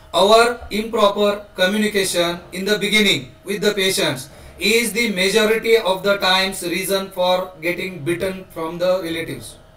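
Over noticeable background noise, a man speaks at a moderate pace. His pitch is high and his intonation fairly even. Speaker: course moderator. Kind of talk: meeting moderation. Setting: video call.

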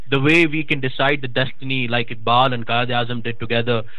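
Noticeable background noise sits under this recording. A man talks at a medium pitch with monotone, flat intonation. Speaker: talk show host. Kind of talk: interview discussion on politics. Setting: phone or video call with audio trouble. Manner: formal, mixes English and Urdu.

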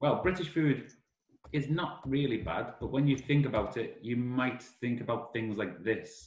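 A somewhat breathy man with a Liverpool accent and lively intonation, plus audible room echo. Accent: Liverpool (Scouse). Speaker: summer school director; English teacher presenting. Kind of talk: online class presentation to foreign students. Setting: video call. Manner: slow, simplified speech for learners; animated. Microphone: video call.

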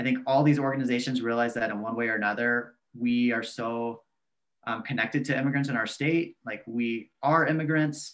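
A man with an American accent, fairly quick and fairly even in intonation, over a quiet background. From Texas, near San Antonio; Texas. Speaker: community organizer; guest. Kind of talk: interview. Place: home room. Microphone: video call.

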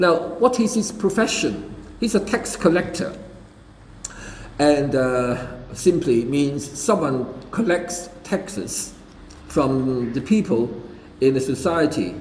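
Speaking very slowly with long, frequent pauses and very wide pitch swings, a man is heard with audible room echo and light background noise. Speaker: preacher. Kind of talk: sermon. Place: church. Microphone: podium.

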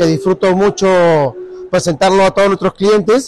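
A man's high-pitched voice in a dry sound with no echo. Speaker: car salesman. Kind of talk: sales product presentation. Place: shop. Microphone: phone near.

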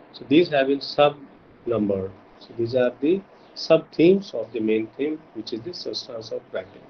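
Over light background noise, a man talks at a moderate pace in a somewhat breathy voice, with big swings in loudness. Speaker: university lecturer. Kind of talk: lecture. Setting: video call. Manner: formal. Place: home room. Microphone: video call.

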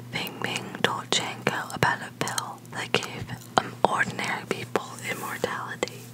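The voice is soft-spoken over loud background noise. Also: moderate pace. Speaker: storyteller reading aloud. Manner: soft-spoken, hushed ASMR reading.

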